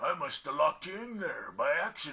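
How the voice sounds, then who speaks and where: A man's raspy, put-on character voice at a fairly quick pace. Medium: read story.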